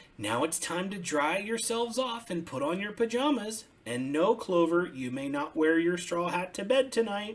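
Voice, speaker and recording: Using a put-on character voice, a man speaks high in pitch with very wide pitch swings and hardly any pauses. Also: moderate pace. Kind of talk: bedtime story. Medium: read story. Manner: warm, fussing.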